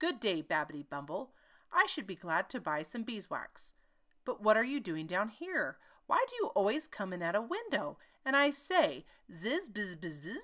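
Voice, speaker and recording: A woman puts on a character voice at a fairly high pitch. She speaks at a moderate pace. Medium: read story. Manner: prim, fussy.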